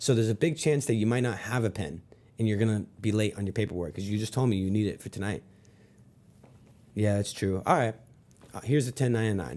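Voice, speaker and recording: A man mumbles very fast in a dark, mellow tone at a fairly low pitch, with ordinary pitch variation. Long pauses come often. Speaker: sales trainer. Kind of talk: sales tutorial with role-play. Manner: mumbling.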